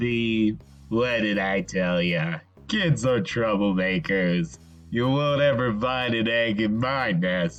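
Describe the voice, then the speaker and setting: Over clear music in the background, a man uses a put-on character voice at a medium pitch and a fairly slow pace. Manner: brash, wisecracking.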